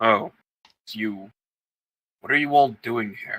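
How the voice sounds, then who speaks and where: A man puts on a rumbling character voice at medium pitch. He talks at a fairly slow pace. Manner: gruff, surprised.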